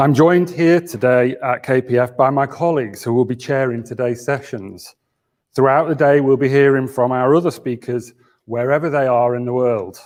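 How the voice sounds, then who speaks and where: A man with a northern English accent, medium pitch, ordinary pitch variation and a moderate pace. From Yorkshire. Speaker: think tank chief executive. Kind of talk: conference opening speech. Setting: office venue, live hybrid conference. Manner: formal.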